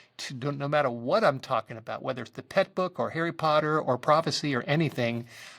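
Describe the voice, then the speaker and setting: A man speaks at a fairly high pitch with ordinary pitch variation, in a very clean recording with a silent background. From Southern California. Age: 60s. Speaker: author and Bible prophecy teacher. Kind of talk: interview, personal testimony. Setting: podcast interview.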